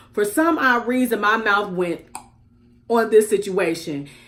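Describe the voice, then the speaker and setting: With lively intonation and an animated tone, a woman speaks at a fairly high pitch. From US Midwest, Chicago. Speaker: YouTube commentary vlogger. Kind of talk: casual commentary vlog.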